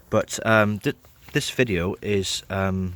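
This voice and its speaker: A man speaks with a southern English accent and fairly even intonation. The recording is very clean with a silent background. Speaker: car mechanic vlogger. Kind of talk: tutorial. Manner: hesitant, many fillers.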